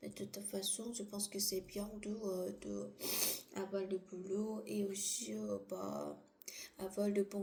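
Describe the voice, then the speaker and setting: A woman talks at a very slow pace while noticeable background noise plays around her. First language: not French (speaking French). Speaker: vlogger. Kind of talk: casual monologue. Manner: halting.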